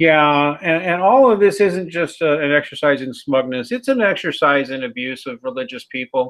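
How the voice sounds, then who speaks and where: Speaking with a Midwestern American accent, a man delivers his words at a moderate pace, his fairly high pitch rising and falling in lively intonation. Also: hardly any pauses. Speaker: atheism critic channel host. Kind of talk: casual chat. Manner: animated.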